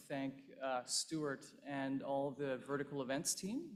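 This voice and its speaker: A man with a plain, everyday voice, fairly high pitch and a fairly slow pace. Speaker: investment fund partner. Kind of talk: conference speech. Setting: stage with audience.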